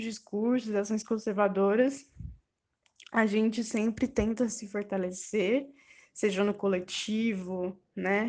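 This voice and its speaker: The speech moves at a very slow pace with fairly even intonation. The background is quiet. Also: woman. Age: 20s. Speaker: university student. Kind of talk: recorded testimony.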